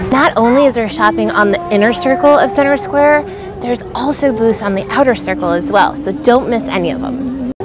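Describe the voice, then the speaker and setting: A woman talks at a fairly quick pace over clear music in the background, the sound dry with no echo. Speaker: local vlogger. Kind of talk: casual vlog chat. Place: market. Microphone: phone near.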